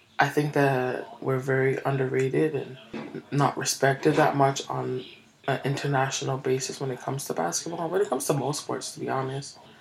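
A woman speaks in a very deep, low pitch over noticeable background noise. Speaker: podcast host. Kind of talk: casual monologue. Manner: animated.

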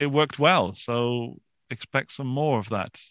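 In a British accent, a man speaks fairly slowly at a medium pitch with a bright, sharp tone and fairly even intonation, the sound dry and close with no echo over a quiet background. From England, Forest of Dean, Gloucestershire. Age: 40s. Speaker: YouTuber and podcaster. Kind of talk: interview. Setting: video call from home studio.

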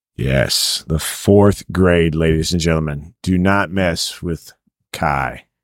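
A man's very deep, low voice with an American accent, at a very slow pace and with ordinary pitch variation. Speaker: podcast host. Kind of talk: casual chat. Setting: home kitchen.

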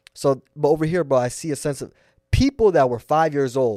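A man with a fairly high pitch and a dark, mellow tone speaks at a fairly quick pace with ordinary pitch variation. The recording is very clean and dry, close with no echo and a silent background. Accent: American. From United States. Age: 20s. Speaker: podcast host. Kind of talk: casual chat.

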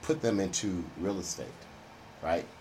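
A man with an American accent speaks at a fairly low pitch. There is audible room echo. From Houston, Texas (Third Ward). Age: old. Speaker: retired businessman and entrepreneur. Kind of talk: interview.

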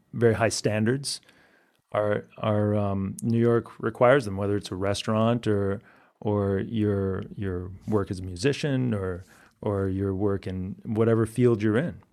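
In an American accent, a man talks in a plain, everyday voice. His pace is fairly slow and his intonation fairly even. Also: fairly low pitch for a man, very clean recording, silent background. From Massachusetts, suburb of Boston. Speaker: singer-songwriter. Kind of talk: interview.

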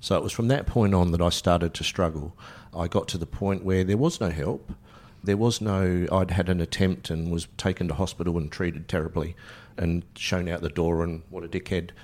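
A man's very deep, low voice in an Australian accent, at a fairly quick pace with fairly even intonation, on a very clean recording with a silent background. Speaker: mental health centre volunteer. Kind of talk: personal testimony interview. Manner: casual, candid.

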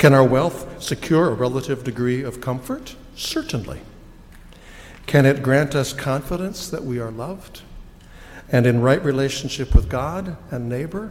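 With an American accent and an unremarkable speaking voice, a man at medium pitch talks at a moderate pace, showing ordinary pitch variation and big swings in loudness. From United States. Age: 60s. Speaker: pastor. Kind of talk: sermon. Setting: church.

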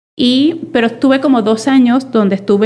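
Delivered at a moderate pace, an unremarkable speaking voice carries fairly even intonation. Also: woman. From Venezuela. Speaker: data and innovation professional. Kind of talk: interview conversation.

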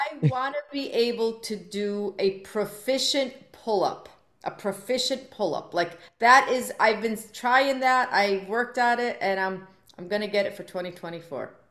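A woman speaks in an ordinary speaking voice at a fairly high pitch. Her pitch variation is ordinary. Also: moderate pace. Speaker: professor. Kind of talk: casual chat.

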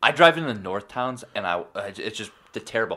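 In an American accent, a man with a medium pitch and a bright, sharp tone speaks at a moderate pace with lively intonation. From Buffalo, New York area. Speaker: podcast co-host, gym worker. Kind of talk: casual chat.

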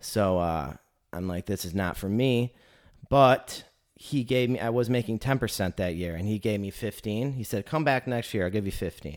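A man with an American accent speaks at a moderate pace, in an unremarkable speaking voice with a fairly low pitch and ordinary pitch variation. The recording is very clean, with a silent background. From Northern Michigan. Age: 30s. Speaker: podcast host. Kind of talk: interview.

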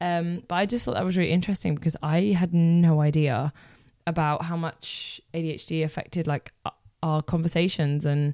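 In a British accent, a woman with a dark, mellow tone speaks at a fairly low pitch with fairly even intonation. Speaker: podcast host. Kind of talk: casual monologue.

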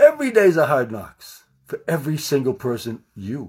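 At a moderate pace, a man speaks in an animated tone. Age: 60s. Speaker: podcast host, wellness coach. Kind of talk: motivational monologue. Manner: loud.

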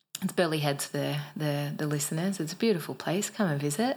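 On a very clean recording with a silent background, a woman with an Australian accent and a very deep, low pitch talks at a fairly quick pace with ordinary pitch variation. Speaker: podcast co-host, personal growth coach. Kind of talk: pep talk. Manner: fired-up, emphatic, urgent, direct-address.

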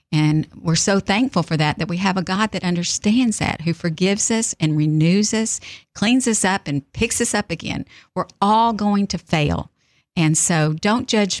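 A woman's Texan accent at a moderate pace with ordinary pitch variation, on a very clean recording with a silent background and a dry, close sound with no echo. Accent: Texan Southern US. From South Texas. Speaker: author and speaker. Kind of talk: faith interview.

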